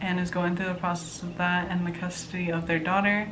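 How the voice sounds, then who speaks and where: Against noticeable background noise and audible room echo, a woman speaks at a fairly low pitch in a monotone, flat intonation. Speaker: book vlogger. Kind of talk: casual chat.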